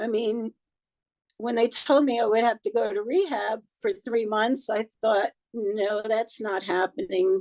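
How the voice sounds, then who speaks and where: A woman with a normal speaking voice and a fairly high pitch talks at a fairly slow pace with ordinary pitch variation, in a dry, close sound with no echo. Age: 60s. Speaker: cancer patient. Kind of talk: interview.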